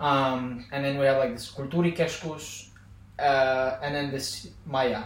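With an Azerbaijani accent, a man speaks at a fairly slow pace and fairly high pitch, his intonation fairly even amid noticeable background noise. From Azerbaijan, Baku. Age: 20s. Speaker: podcast guest, former student. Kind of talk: casual chat.

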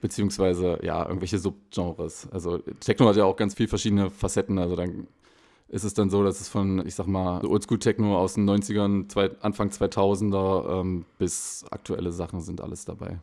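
A man's very deep, low voice at a moderate pace, monotone and flat, on a very clean recording with a silent background. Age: 20s. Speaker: techno DJ. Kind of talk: casual interview. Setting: in a closed nightclub.

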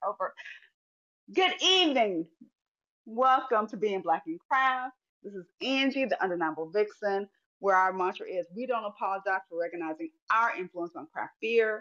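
A woman with an American accent speaks at a moderate pace and fairly high pitch, with lively intonation and a bright, sharp tone. Her loudness swings widely, she leaves long, frequent pauses, and the sound is dry and close with no echo. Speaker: podcast host. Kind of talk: casual chat. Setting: live audio chat room.

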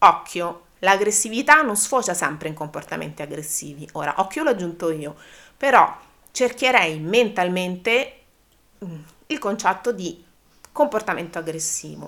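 Her pitch is medium for a woman, with very wide swings and big shifts in loudness. She talks at a fairly slow pace with long, frequent pauses and a bright, sharp tone. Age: 40s. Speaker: dog trainer. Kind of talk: educational podcast monologue. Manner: halting.

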